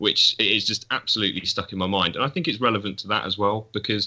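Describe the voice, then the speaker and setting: A man with a normal speaking voice and a fairly low pitch, at a fairly quick pace. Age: young. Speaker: photography student. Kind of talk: casual chat.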